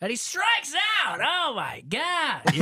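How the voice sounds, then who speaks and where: A put-on character voice at an extremely high pitch moves at a fairly slow pace. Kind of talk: radio play-by-play. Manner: excited, fake.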